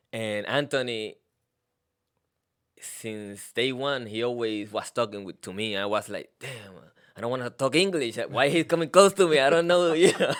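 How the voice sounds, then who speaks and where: A man talks at a moderate pace with a Puerto Rican accent, his loudness swinging widely. The recording is very clean, with a silent background. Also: medium pitch for a man, lively intonation. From Puerto Rico. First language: Spanish. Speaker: postal worker. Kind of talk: casual interview.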